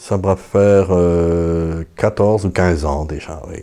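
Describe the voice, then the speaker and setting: A man speaks with a very deep, low pitch. His pace is very slow. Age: 50s. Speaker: parish priest. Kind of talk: testimony interview.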